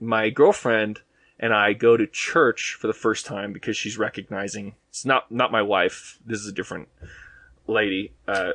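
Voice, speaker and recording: A man of medium pitch talks with a slight Boston accent. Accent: slight Boston accent on a couple of words. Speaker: podcast guest. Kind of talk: casual chat. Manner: hesitant, many fillers.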